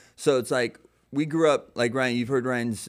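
A man's ordinary speaking voice, medium in pitch, fairly quick and fairly even in intonation, on a very clean recording with a silent background. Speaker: pastor. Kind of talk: casual chat. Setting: studio.

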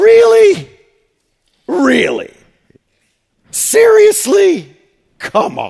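Someone does a put-on character voice at a very slow pace, leaving long, frequent pauses. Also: man, extremely high pitch for a man. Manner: mocking, sneering, incredulous.

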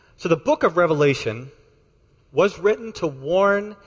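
A man with an American accent and lively intonation at a fairly slow pace. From Texas. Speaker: pastor. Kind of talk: sermon. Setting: church.

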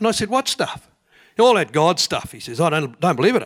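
A man speaks with a New Zealand accent. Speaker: churchgoer telling faith stories. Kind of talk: storytelling to audience. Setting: church stage with audience.

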